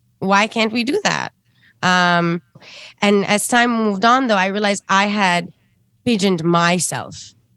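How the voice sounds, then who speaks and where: In a very clean recording with a silent background, the speaker uses an Arabic accent, a bright, sharp tone, very even loudness and fairly even intonation at a fairly slow pace, with long, frequent pauses. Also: woman, medium pitch for a woman. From Sudan. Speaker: singer-songwriter and ethnomusicologist. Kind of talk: interview conversation.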